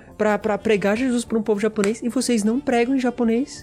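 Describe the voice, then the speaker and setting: A man with a Brazilian accent speaks in a high pitch. There is noticeable background noise. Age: 20s. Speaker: seminary student and youth leader. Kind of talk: casual chat.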